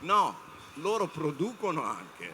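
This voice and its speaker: Noticeable background noise sits behind a man as he talks. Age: 60s. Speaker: panel speaker on media. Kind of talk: panel talk to students. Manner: halting, many fillers.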